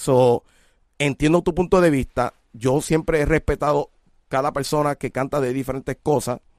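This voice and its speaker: Here a man with an ordinary speaking voice talks at a moderate pace, fairly high in pitch. The sound is dry and close, with no echo. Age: 40s. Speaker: music show host and artist mentor. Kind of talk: casual chat.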